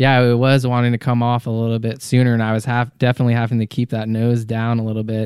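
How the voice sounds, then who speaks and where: Talking very fast with hardly any pauses, a man with an American accent keeps a flat, monotone delivery at medium pitch. The sound is dry and close, with no echo. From Colorado (suburb of Denver). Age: 30s. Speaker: jump pilot and skydiver. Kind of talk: casual interview chat.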